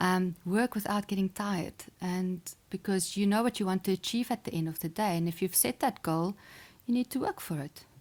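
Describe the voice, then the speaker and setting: In a South African accent, a woman speaks at a moderate pace and medium pitch with ordinary pitch variation, on a very clean recording with a silent background and a dry, close sound with no echo. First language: Afrikaans. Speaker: sports psychologist and chess champion. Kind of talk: podcast interview. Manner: hesitant, many fillers.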